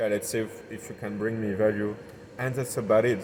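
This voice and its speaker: A man with a southern French accent speaks at a fairly low pitch with fairly even intonation against noticeable background noise. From southern France. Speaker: entrepreneur. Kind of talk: podcast interview. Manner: hesitant, searching for words.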